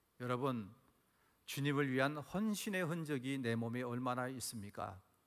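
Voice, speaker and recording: Moderate pace and lively intonation amid audible room echo. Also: man, medium pitch for a man. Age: 60s. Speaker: pastor. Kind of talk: sermon. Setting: church. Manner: animated.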